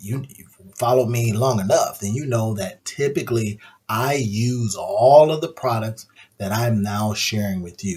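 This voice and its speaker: A man's medium-pitched, somewhat breathy voice moves at a moderate pace with ordinary pitch variation. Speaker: AI tools YouTuber. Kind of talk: screen-share tutorial. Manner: low-key, subdued; casual, conversational.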